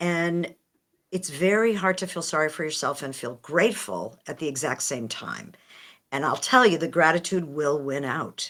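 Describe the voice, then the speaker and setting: An unremarkable speaking voice with lively intonation, a moderate pace and an American accent. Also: woman, fairly low pitch for a woman. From United States. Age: 60s. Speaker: author and speaker. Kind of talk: podcast interview.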